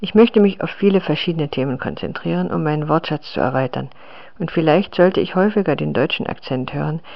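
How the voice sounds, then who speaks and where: Fairly quick speech with a non-native accent. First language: not German (speaking German). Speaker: language learner. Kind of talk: reading aloud.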